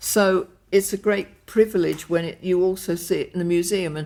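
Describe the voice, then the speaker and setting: In an English accent, a woman speaks at a medium pitch and a fairly slow pace on a very clean recording with a silent background. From England. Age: 80s+. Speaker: fashion designer. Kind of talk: interview answer. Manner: exuberant, gregarious.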